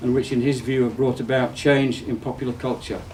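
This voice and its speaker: A man at a very fast pace, medium pitch, with noticeable background noise. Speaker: university design professor and event host. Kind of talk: introduction of a guest at a public talk.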